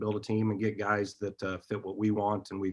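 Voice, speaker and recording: A man's fairly low voice in a Midwestern US accent, delivered in a monotone, flat way. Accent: US Midwest. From Iowa. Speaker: college basketball coach. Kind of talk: interview.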